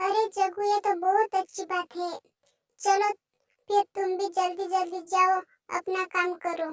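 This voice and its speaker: A woman's cartoonish character voice, extremely high in pitch, monotone and flat, at a fairly slow pace, with a dry, close sound and no echo. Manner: self-assured, teasing.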